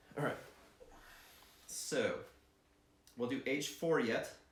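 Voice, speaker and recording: Audible room echo surrounds the man's speech, which has ordinary pitch variation. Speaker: board game video creator. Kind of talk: solo board game playthrough commentary.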